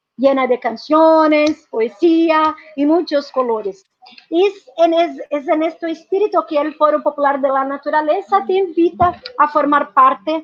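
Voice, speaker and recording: A woman talks at a fairly slow pace in a Portuguese accent. Her pitch variation is ordinary. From Brazil. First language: Portuguese (speaking Spanish). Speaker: activist, social movement representative. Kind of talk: conference presentation. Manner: halting, frequent self-corrections.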